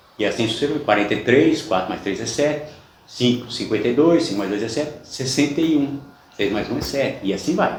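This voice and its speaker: With audible room echo and noticeable background noise, a man of medium pitch talks fairly quickly, his intonation lively. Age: 60s. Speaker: religious YouTuber. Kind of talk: personal testimony monologue.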